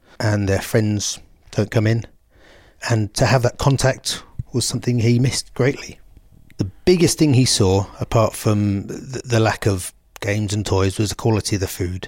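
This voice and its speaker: Over a silent background in a very clean recording, a man speaks at a moderate pace. His voice is fairly low and somewhat breathy, with ordinary pitch variation. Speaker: bereaved father and charity founder. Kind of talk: emotional interview.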